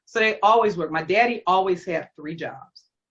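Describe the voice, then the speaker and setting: A woman speaks at a medium pitch and a moderate pace. Her tone is animated and her intonation lively. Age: 60s. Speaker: college professor and educational consultant.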